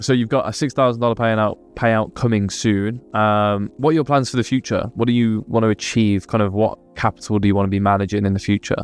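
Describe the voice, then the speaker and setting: This man has a plain, everyday voice at a fairly low pitch. He talks at a fairly quick pace with hardly any pauses, fairly even intonation and very even loudness. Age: 20s. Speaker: interviewer and trader. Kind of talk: interview.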